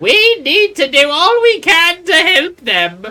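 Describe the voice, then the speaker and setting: A put-on character voice, female-sounding and extremely high in pitch, at a fairly slow pace. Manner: caring, encouraging.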